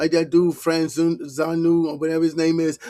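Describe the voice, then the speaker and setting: A man with a New York accent speaks at a fairly high pitch and a fairly quick pace. His tone is dark and mellow, and the sound is dry and close with no echo. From New York City (Harlem). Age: 50s. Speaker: online commentator. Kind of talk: reaction commentary, casual rant. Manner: animated.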